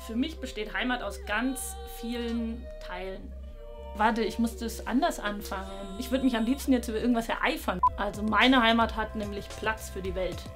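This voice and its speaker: Clear music sounds behind the speaker. She is a woman talking at a moderate pace. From Bavarian Swabia, Germany. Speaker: traditional costume designer. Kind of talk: interview answer. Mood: opinionated, lively, some hesitations. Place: workshop.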